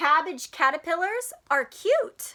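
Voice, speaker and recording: Putting on a character voice, a woman speaks at a fairly slow pace with an extremely high pitch, very wide pitch swings and a warm tone. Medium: read story. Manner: warm, encouraging.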